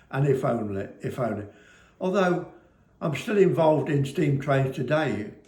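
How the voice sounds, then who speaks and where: A man's fairly high, somewhat breathy voice carries lively intonation, with audible room echo around it. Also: moderate pace. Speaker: business owner, former railway fireman. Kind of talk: casual chat to camera. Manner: animated.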